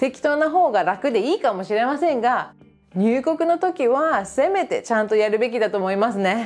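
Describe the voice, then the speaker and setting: A woman's high-pitched, upbeat voice with lively intonation at a moderate pace, music in the background. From Japan. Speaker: English teacher. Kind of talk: casual talk to camera.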